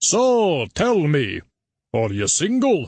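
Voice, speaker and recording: A put-on character voice at a middle pitch. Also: quiet background. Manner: nosy, coaxing.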